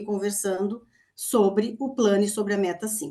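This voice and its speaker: At a moderate pace, a woman speaks at medium pitch with a dark, mellow tone. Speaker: university lecturer. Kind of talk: online presentation.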